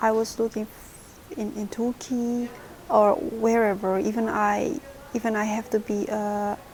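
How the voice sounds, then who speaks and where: This woman's voice is fairly high, and noticeable background noise can be heard. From Indonesia, small city. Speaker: vlogger, former au pair. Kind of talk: personal story vlog. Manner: halting, many restarts.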